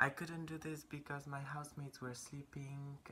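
Quietly and at a moderate pace, a woman with a bright, sharp tone speaks in a Polish accent over light background noise. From Poland. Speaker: vlogger. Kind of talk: casual chat. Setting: indoors at home. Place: home room. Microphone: phone near.

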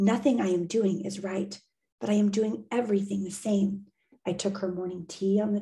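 The clip is reading aloud in a natural voice, the intonation fairly even. The background is quiet.

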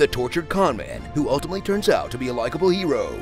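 Male speaker with music in the background. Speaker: voice actor, trailer narrator. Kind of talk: movie trailer narration, humorous parody.

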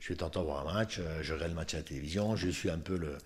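A man talks, keeping to a moderate pace. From Moselle, France. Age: 60s. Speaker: retired footballer; guest. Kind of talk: interview. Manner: halting, many repetitions. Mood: relaxed, reminiscing. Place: home room. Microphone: studio mic.

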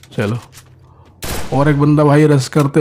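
The man's fairly high voice holds a fairly even intonation against noticeable background noise. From Odisha, India. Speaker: mobile game streamer. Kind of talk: live gameplay commentary.

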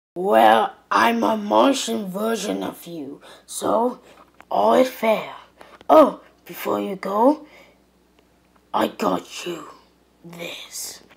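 A female-sounding, cartoonish character voice at medium pitch moves at a very slow pace with long, frequent pauses. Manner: friendly, cheerful.

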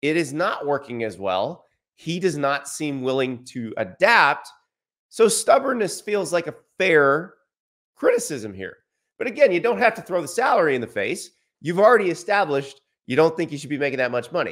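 A man talks at a moderate pace with very wide pitch swings. His loudness swings a lot, and the background is quiet. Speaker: sports commentator. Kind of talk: commentary. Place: studio.

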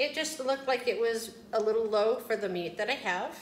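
A woman at a fairly high pitch and moderate pace, with audible room echo. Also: ordinary pitch variation.

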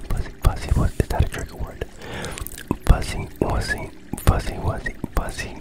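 A man is whispering. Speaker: ASMR creator. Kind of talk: ASMR trigger word whispers. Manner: whispered, soft-spoken, slow. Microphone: studio mic.

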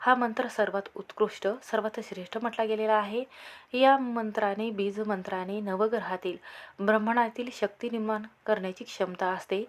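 Moderate pace with fairly even intonation. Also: woman, medium pitch for a woman.

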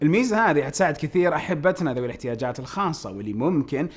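A man is talking. His pitch swings very widely. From Saudi Arabia. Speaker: tech news YouTuber. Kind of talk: tech news video, casual address to viewers. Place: studio.

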